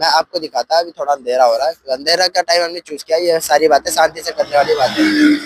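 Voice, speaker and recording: Speaking at a moderate pace with hardly any pauses, a man uses a high pitch and fairly even intonation in a dry, close sound with no echo. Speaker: YouTuber. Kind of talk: vlog commentary. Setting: outdoors by expressway.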